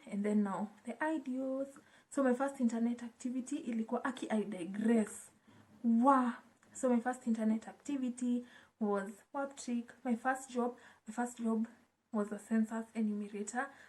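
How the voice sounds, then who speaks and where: With a Kenyan accent, a woman speaks at a fairly high pitch in a dark, mellow tone with fairly even intonation. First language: Swahili. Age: 20s. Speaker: YouTuber. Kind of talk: casual vlog chat. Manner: code-switching between English and Swahili.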